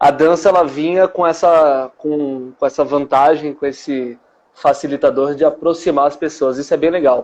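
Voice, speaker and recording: A man speaks in a plain, everyday voice, pitched fairly high. His pace is moderate and his intonation fairly even. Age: 20s. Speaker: dance teacher. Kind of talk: interview.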